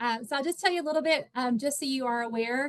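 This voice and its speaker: A woman's voice with ordinary pitch variation. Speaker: nonprofit director and workshop presenter. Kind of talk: online workshop presentation. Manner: fast.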